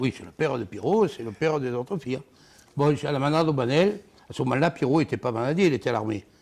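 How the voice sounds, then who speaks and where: A man talks at a very fast pace, his fairly high pitch carried by lively intonation. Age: 60s. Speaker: former bull herdsman, bull-racing figure. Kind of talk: TV interview, personal anecdote. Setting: TV studio.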